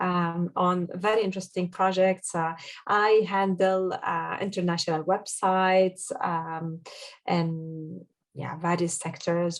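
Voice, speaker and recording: In an Arabic accent, the speaker talks at a fairly slow pace with monotone, flat intonation. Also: woman. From Jordan. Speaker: SEO consultant. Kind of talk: podcast interview. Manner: halting, many fillers.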